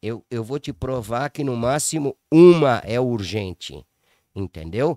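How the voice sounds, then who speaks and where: A dark, mellow tone comes through in a very clean recording with a silent background and a dry, close sound with no echo. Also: man, medium pitch for a man. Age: 60s. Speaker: businessman. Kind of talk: casual chat. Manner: halting, repetitive.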